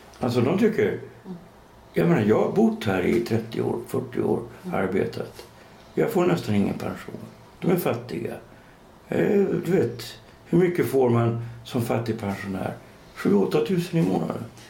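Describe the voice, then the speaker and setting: Very wide pitch swings and long, frequent pauses, with audible room echo and noticeable background noise. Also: man, medium pitch for a man, moderate pace. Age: 60s. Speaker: writer and podcast co-host. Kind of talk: casual chat.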